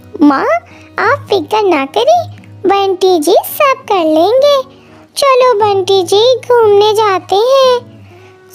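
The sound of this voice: Faint music plays behind a woman doing a squeaky, cartoonish character voice at an extremely high pitch and a very slow pace.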